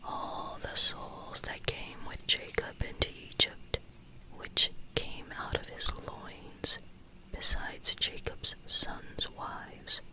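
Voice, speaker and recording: Someone whispers in a soothing tone at a very slow pace. Noticeable background noise sits behind the voice. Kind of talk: whispered Bible reading for sleep or devotions. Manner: whispered, soothing.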